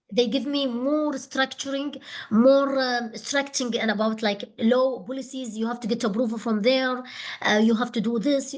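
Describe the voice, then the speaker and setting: Her voice high in pitch, a woman speaks at a moderate pace with fairly even intonation. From Qatar. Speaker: doctoral candidate. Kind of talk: thesis defence. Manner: halting.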